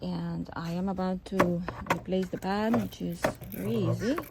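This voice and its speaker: Noticeable noise fills the background. A woman is speaking. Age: 60s. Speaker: customer reviewer. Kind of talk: product review.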